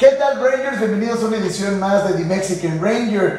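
Faint music plays behind a man who talks at a very fast pace in a high voice with ordinary pitch variation, amid strong room echo. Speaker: show host. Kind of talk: cooking show presentation. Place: kitchen.

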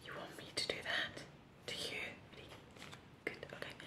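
The speaker is a woman, whispering. Her pace is fairly slow. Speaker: ASMR creator playing hairdresser. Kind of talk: ASMR personal attention roleplay, friendly haircut. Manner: whispered. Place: home room.

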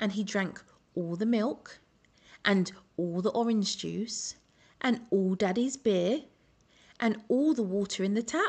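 Somewhat breathy, a woman with an English accent speaks at a very slow pace with long, frequent pauses and ordinary pitch variation. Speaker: children's story reader. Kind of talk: reading aloud. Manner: expressive storytelling.

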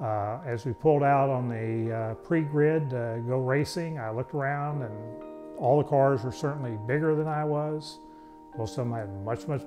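A man talks at a moderate pace with ordinary pitch variation. Clear music plays in the background. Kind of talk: interview answer. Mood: amused storytelling. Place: workshop.

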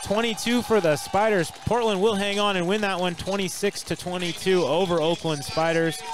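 A man's high-pitched voice at a fairly slow pace, with noticeable background noise. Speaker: play-by-play commentator. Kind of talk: live sports commentary.

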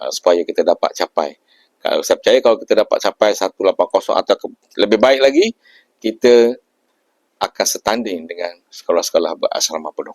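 A man's moderate-paced speech comes across with a dry, close sound and no echo. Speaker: school principal. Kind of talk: interview. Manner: hesitant with many fillers.

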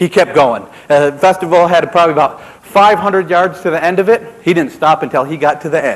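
A man with an American accent talks at a very fast pace in a high voice for a man. His tone is animated, with ordinary pitch variation. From upstate New York. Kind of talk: storytelling to a live audience. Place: stage.

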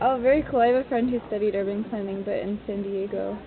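Over faint background noise, a woman with an American accent talks at a fast pace with fairly even intonation. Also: medium pitch for a woman.

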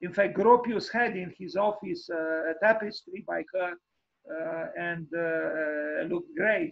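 Against a quiet background, a man speaks at a high pitch with ordinary variation. His pace is very slow. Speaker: lecturer on architecture. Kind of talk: online lecture with slides. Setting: video call screen share. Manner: hesitant, many fillers. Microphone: video call.

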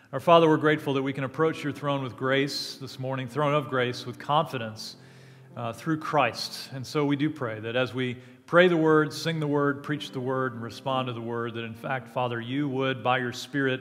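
Here a man talks at a moderate pace. His intonation is fairly even. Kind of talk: call to worship, scripture reading and prayer. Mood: warm, reverent. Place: church. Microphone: headset.

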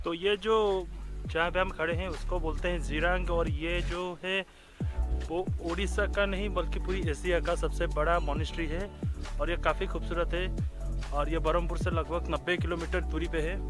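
A man at a fairly slow pace, dry sound with no echo, and clear music in the background. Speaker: travel vlogger. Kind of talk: casual vlog chat. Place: open country. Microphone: phone near.

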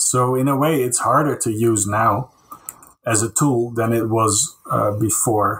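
A man's voice at medium pitch, with very even loudness and fairly even intonation. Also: fairly slow pace. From Netherlands (Castricum, North Holland). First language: Dutch. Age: 40s. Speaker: concept artist. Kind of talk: casual interview.

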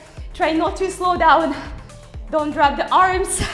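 A woman's extremely high pitch with fairly even intonation, faint music in the background. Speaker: fitness instructor. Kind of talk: workout coaching cues.

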